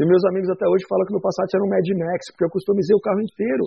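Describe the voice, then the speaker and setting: A man talks at a very fast pace. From São Paulo, Brazil. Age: 40s. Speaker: bar owner. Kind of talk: casual interview. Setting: studio.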